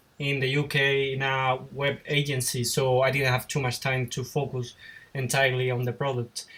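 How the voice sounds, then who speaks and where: A man with a Spanish accent speaks in a bright, sharp tone at a fairly high pitch, on a very clean recording with a silent background. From Spain. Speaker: YouTuber and web designer. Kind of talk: interview. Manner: halting.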